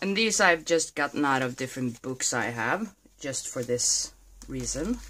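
On a very clean recording with a silent background, a woman with a very deep, low pitch and a bright, sharp tone shows vocal fry and very wide pitch swings at a moderate pace. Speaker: art journaling youtuber. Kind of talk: tutorial.

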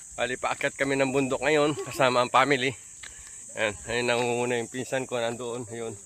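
The speech comes at a fairly quick pace with monotone, flat intonation over noticeable background noise. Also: man, medium pitch for a man. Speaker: vlogger. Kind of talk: casual vlog narration. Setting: outdoors.

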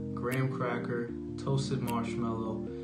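Fairly slow speech over loud music in the background. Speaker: drink reviewer. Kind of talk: casual review chat. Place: home room.

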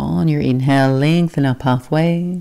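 The voice has a calm, gentle tone that is also dark and mellow. Pitch varies in an ordinary way against a quiet background. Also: woman. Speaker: yoga instructor. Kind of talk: guided yoga class with calm, soothing cueing. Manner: calm, slow, soft-spoken, gentle; brisk, clipped cues during flow sequences.

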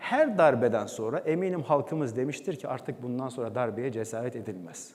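A man's unremarkable speaking voice at medium pitch, moderate pace and lively intonation. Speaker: former radio and TV announcer, presenter and documentary voice-over artist. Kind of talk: talk on stage telling a personal story to an audience.

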